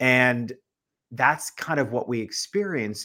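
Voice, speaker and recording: An ordinary speaking voice with lively intonation and an American accent. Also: man. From US Northeast. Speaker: business author and speaker. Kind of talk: interview. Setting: live-streamed video call.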